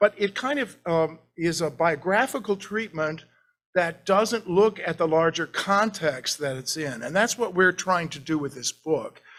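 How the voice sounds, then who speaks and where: Speaking at a fairly slow pace, a man uses lively intonation at a high pitch. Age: 60s. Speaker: art historian, professor. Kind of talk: lecture. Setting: library meeting room with audience and zoom.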